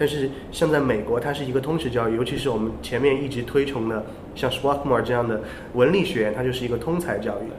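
Through noticeable background noise and audible room echo, a man speaks at a very fast pace. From China. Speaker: podcast co-host, English educator. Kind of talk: casual chat.

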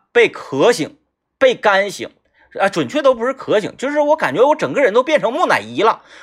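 The speaker sounds animated, with very wide pitch swings at a moderate pace. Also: man, extremely high pitch for a man. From Northeast China. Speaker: radio host. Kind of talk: casual monologue.

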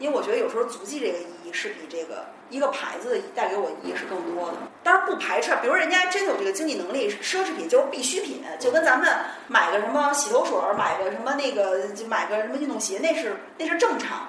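A woman talks at a very fast pace and a high pitch, with very wide pitch swings. Noticeable background noise and audible room echo are present. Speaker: podcast guest. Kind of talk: casual chat.

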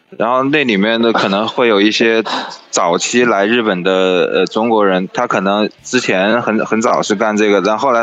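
A man's fairly low voice at a moderate pace, with fairly even intonation and noticeable background noise. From China, Wuhan. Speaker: podcast guest, travel companion. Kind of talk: casual chat. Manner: hesitant, many fillers.

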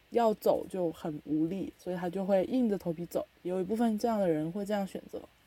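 Her tone dark and mellow, a woman talks at a fairly quick pace. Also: medium pitch for a woman, ordinary pitch variation. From China. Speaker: podcast host. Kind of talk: casual chat.

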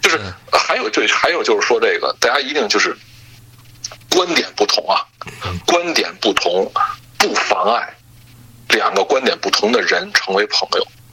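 A man leaves long, frequent pauses while noticeable noise sounds behind him. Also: moderate pace. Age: 30s. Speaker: podcast guest, sports and gaming fan. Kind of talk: casual chat.

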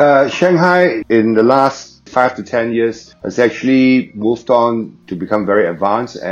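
The speech moves at a moderate pace with ordinary pitch variation. Background noise is noticeable. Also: man, medium pitch for a man. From Singapore. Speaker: restaurant owner. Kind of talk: casual interview.

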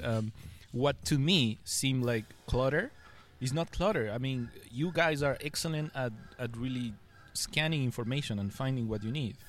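In a Spanish accent, a man speaks at a moderate pace with ordinary pitch variation. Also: medium pitch for a man. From Ecuador. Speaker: UX design director. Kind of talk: casual interview.

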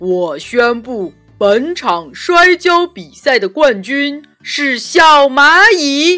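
Putting on a character voice, a woman speaks very slowly, loud and resonant at a high pitch, with faint music in the background. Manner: announcing.

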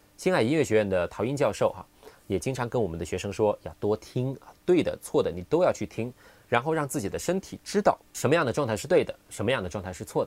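A man's medium-pitched voice, very fast with hardly any pauses and very wide pitch swings. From Guangdong, Qingyuan. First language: Cantonese (speaking Chinese). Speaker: English pronunciation teacher. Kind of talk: solo podcast talk.

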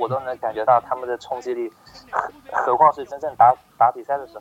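A man at a medium pitch, with music in the background. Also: dry, close sound with no echo. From Hangzhou, China. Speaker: basketball writer. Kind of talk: casual chat. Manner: halting.

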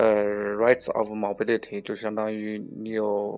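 His pitch is fairly low. This man speaks with monotone, flat intonation. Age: 30s. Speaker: licensed immigration consultant. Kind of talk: casual interview. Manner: halting.

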